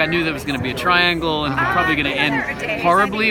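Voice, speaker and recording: Ordinary pitch variation over crowd noise in the background, in a dry sound with no echo. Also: man. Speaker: actor at event. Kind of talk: interview answer. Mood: relaxed, friendly. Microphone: phone near.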